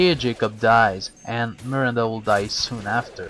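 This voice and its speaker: A man with a non-native accent and fairly even intonation, music in the background. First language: not English. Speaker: gaming commentator. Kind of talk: game walkthrough commentary.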